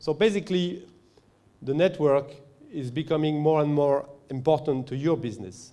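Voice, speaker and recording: Pitched fairly high, a man speaks at a moderate pace in a dark, mellow tone with ordinary pitch variation. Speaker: company representative presenting at a conference. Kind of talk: conference presentation. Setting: conference stage with audience. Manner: halting, many fillers.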